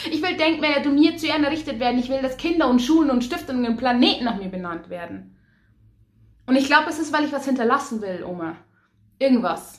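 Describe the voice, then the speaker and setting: A woman speaks in a high voice at a very fast pace. Her pitch swings very widely. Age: 20s. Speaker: poetry slammer and cabaret artist. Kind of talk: poetry slam performance.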